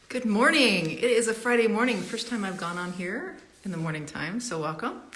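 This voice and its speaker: At a fairly quick pace, a woman speaks with a fairly high pitch and very wide pitch swings over noticeable background noise. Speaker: interviewer. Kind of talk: live interview host talk.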